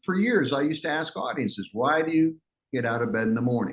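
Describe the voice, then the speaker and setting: A man with a fairly high pitch speaks at a very fast pace, using very wide pitch swings and vocal fry. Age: 60s. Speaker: motivational speaker. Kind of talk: keynote talk. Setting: webinar. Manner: animated.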